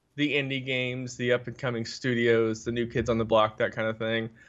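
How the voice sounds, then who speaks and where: Medium in pitch, this man's voice carries an American accent. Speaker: podcast co-host. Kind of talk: casual chat.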